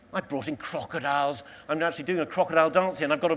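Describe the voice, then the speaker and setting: With a London accent, a man speaks very fast at a fairly high pitch and with ordinary pitch variation. Noticeable background noise runs underneath. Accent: southern English (London). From London, England. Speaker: explorer. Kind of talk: motivational talk. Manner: animated.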